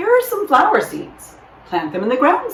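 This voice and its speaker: Using a put-on character voice, a woman talks at a moderate pace in an extremely high pitch. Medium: read story. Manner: calm, patient.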